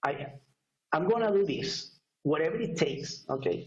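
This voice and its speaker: A man speaks with a strong Spanish accent. Some room echo can be heard. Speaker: network marketer. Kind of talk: testimony. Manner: halting.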